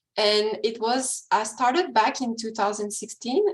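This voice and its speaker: A woman with a Quebec accent and a fairly high pitch speaks at a fairly slow pace, her intonation lively. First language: French. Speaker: ecology researcher. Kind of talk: webinar presentation and Q&A. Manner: halting, many fillers.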